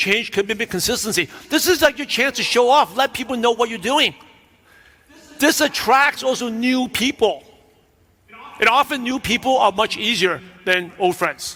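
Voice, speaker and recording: A man's raised, projected voice, extremely high-pitched, in a New York accent, with long, frequent pauses. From New York (Brooklyn). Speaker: business coach. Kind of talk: keynote speech.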